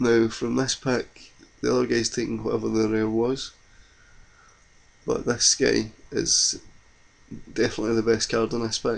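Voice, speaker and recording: A man with a Scottish accent, his speech broken by long, frequent pauses. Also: moderate pace. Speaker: card game video creator. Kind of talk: gameplay commentary.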